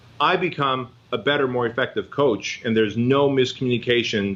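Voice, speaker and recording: This is a normal speaking voice moving at a fairly quick pace. Pitch varies in an ordinary way while loudness stays very even. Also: man. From Armenia, moved to US at age six. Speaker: fitness business coach. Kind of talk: podcast interview. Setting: office with library.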